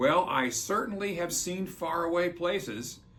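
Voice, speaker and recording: A man uses a put-on character voice at a high pitch. He keeps a moderate pace over light background noise. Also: lively intonation. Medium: read story. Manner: thoughtful, gentle.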